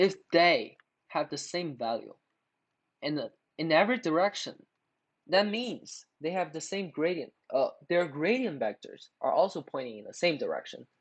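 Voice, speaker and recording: Moderate pace, a non-native accent, long and frequent pauses, and a quiet background. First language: not English. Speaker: math tutorial youtuber. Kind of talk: tutorial. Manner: halting, many filler words.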